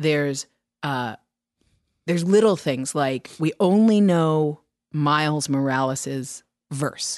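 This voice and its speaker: A woman's very deep, low-pitched voice at a very slow pace, with ordinary pitch variation, long, frequent pauses and a quiet background. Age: 40s. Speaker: audiobook narrator and podcast co-host. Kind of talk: casual chat.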